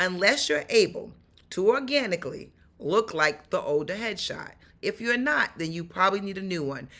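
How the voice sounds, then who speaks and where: On a very clean recording with a silent background, a woman with a New York accent speaks at a moderate pace in an animated tone, her pitch swinging very widely, with vocal fry. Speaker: actor and stuntwoman. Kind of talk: vlog tutorial.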